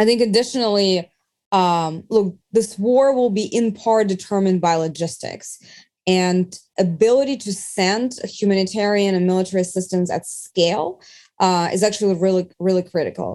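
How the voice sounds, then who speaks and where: The background is quiet as a woman speaks in a dark, mellow tone. Her pitch is medium with ordinary variation, at a moderate pace. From Eastern Ukraine. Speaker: foreign policy analyst. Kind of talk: interview.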